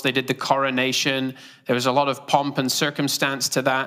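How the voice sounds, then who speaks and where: Bright and sharp in tone, a man with a British accent comes through a very clean recording with a silent background. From Great Britain. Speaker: preacher. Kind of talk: sermon. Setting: church.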